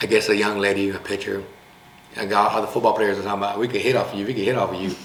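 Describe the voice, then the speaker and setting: A man with an American accent talks at a very fast pace in a fairly low pitch, his intonation monotone and flat. Room echo is audible and background noise is noticeable. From US West Coast, Long Beach, California. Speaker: sports talk show host, coach. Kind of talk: casual interview.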